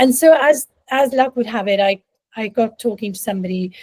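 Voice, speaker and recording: Her fairly high pitch rises and falls in lively intonation as a woman speaks, somewhat breathy, in a dry, close sound with no echo. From India. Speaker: leadership and life coach. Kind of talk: interview conversation.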